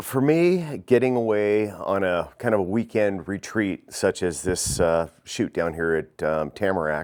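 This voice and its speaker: A man speaks with an unremarkable speaking voice at a fairly low pitch. His pace is fairly slow with hardly any pauses, and his intonation is lively. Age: 60s. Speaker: archer. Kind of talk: interview.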